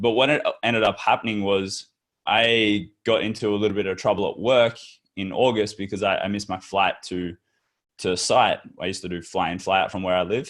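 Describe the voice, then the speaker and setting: In an Australian accent, a man talks at a fairly quick pace. His voice sits fairly low in pitch. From Western Australia. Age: 20s. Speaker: entrepreneur. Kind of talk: interview. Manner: casual, with many repeated words.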